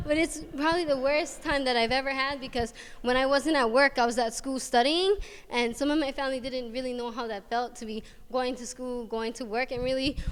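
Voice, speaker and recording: Someone with a Hawaiian accent talks at a fairly quick pace with fairly even intonation. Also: woman. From Hawaii, Waianae coast of Oahu. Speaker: college student. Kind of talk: student presentation. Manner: fast.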